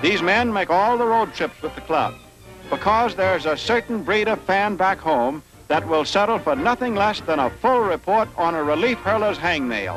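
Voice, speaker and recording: With music in the background, a man of high pitch speaks at a moderate pace with lively intonation and very even loudness. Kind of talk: newsreel narration.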